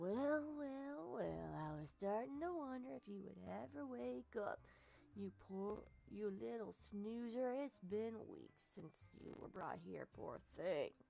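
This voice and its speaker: In a put-on character voice that sounds female, the speaker talks at a fairly slow pace at a medium pitch with a raspy quality. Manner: mocking, teasing.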